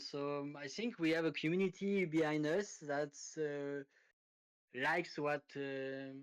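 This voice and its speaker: A man with a French accent and fairly high pitch speaks at a very slow pace. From France. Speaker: crypto project team member. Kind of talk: interview. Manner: halting, many fillers.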